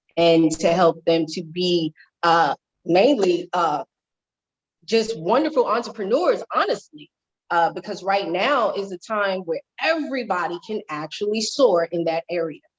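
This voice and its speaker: A woman speaks at a fairly slow pace in a normal speaking voice, medium-pitched with lively intonation, recorded dry and close with no echo. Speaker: life and wellness coach, motivational speaker. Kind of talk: interview.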